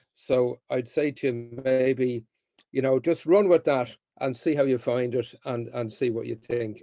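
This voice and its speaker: At a fairly slow pace, a man with an Irish accent speaks at a medium pitch in a dark, mellow tone. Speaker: mediator and trainer. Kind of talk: training session. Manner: hesitant, many fillers and repeats.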